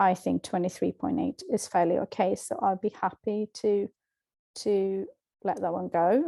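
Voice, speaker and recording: Against a quiet background, a woman in a Swedish accent speaks at a medium pitch with a dark, mellow tone, the sound dry and close with no echo. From Sweden. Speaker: language teacher. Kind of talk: tutorial. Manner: halting.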